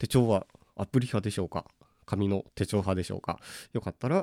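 A man's fairly low voice with a dark, mellow tone and ordinary pitch variation at a moderate pace, dry and close with no echo, on a very clean recording with a silent background. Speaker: trombonist and podcast host. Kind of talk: solo podcast monologue.

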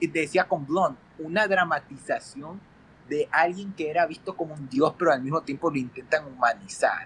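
A man with a high pitch and ordinary pitch variation speaks at a moderate pace. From Ecuador. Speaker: film critic. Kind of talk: casual chat.

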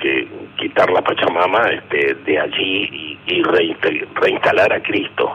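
A man talking at a fairly slow pace, with noticeable background noise. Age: 80s+. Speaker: political activist. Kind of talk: radio interview.

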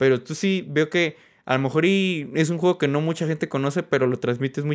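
A man speaks fairly quickly and with ordinary pitch variation, the background quiet. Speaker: podcast host. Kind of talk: casual chat.

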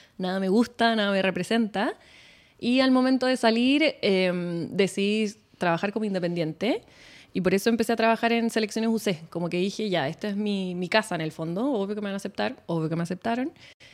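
A woman with a Chilean accent speaks at a fairly quick pace in a medium pitch. Her pitch varies in an ordinary way on a very clean recording with a silent background. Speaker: nutritionist. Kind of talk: casual chat.

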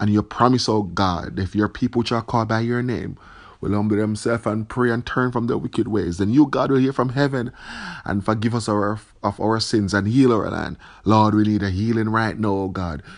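Over a quiet background, a man in a normal speaking voice talks at a moderate pace with fairly even intonation. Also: fairly low pitch for a man. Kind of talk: fervent prayer. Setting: online video message. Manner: earnest, pleading; repetitive, fervent.

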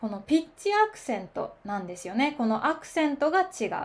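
This woman's high voice rises and falls in very wide pitch swings. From Kansai, Osaka, Japan. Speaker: podcaster teaching Japanese. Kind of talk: casual solo podcast monologue. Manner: conversational, friendly, explanatory.

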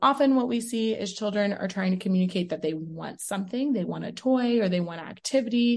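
A woman with an American accent speaks at a fairly quick pace in a medium pitch, her tone dark and mellow and somewhat breathy. Her intonation is lively, and the background is quiet. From Texas, Houston. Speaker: special education professor. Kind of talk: interview.

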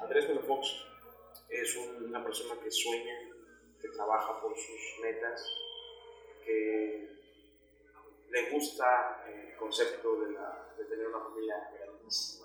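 Speech comes at a very slow pace with long, frequent pauses. Noticeable background noise and audible room echo fill the recording. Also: man. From Mexico, Quintana Roo (Yucatán Peninsula). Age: 20s. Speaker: public speaker and social activist. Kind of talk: casual interview.

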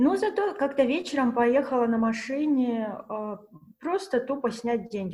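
A woman talking at a moderate pace. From Russia. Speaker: fashion pattern maker. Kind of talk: casual chat. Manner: animated.

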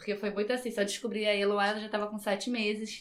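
A woman talks at a fairly high pitch. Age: 30s. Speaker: podcast guest. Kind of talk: casual chat.

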